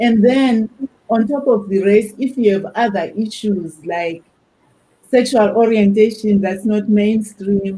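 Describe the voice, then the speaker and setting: A woman's fairly high, somewhat breathy voice with a dark, mellow tone and an African accent, very slow and fairly even in intonation. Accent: African accent, noticeable. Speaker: academic panelist. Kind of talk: panel discussion.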